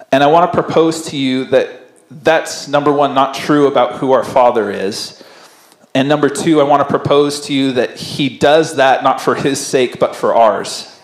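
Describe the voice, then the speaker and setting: A man talks at a moderate pace with fairly even intonation, with audible room echo. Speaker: pastor. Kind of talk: sermon. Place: church. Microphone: handheld.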